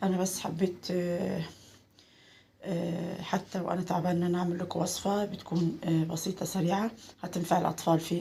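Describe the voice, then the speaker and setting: In an Egyptian accent, a woman with a fairly low pitch speaks at a moderate pace. Her intonation is flat and monotone, with noticeable background noise behind her. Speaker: cooking channel host. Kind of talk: cooking tutorial. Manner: halting, many filler sounds.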